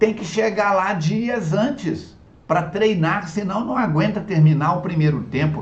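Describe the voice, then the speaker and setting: There is noticeable background noise and audible room echo. A man talks with lively intonation. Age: 70s. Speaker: spiritist lecturer. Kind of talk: religious lecture. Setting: online video talk.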